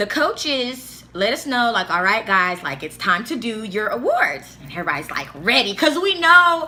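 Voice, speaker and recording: A woman speaks at a high pitch in an animated tone with very wide pitch swings, against noticeable background noise. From Africa. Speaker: YouTuber. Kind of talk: storytelling. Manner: animated casual; stuttering, halting at times.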